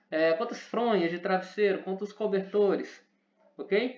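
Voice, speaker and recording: A man's high voice with audible room echo. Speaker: teacher. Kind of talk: lecture. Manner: fast.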